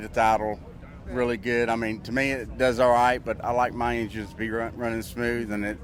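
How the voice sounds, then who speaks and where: A man at medium pitch, with noticeable background noise behind him. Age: 60s. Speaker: car owner. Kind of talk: casual interview. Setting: outdoors at a car show. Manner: halting, many fillers.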